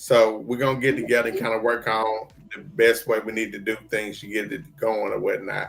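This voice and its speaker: Music plays in the background as a man speaks at medium pitch with fairly even intonation. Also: moderate pace. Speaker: stroke survivor show host. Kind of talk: casual chat. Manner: slurred speech.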